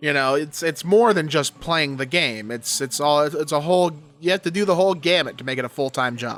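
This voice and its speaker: The voice moves at a fairly quick pace with ordinary pitch variation. Music plays in the background. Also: man, fairly high pitch for a man. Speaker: YouTuber reading and commenting on Reddit posts. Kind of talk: casual commentary. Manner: halting, stuttering.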